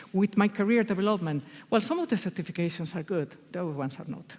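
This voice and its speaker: A woman rattles along very fast, her pitch swinging very widely, with noticeable background noise behind her. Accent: Spanish. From Spain, Basque Country. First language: Spanish. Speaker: agile consultant. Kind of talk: conference talk. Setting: stage with audience. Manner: animated.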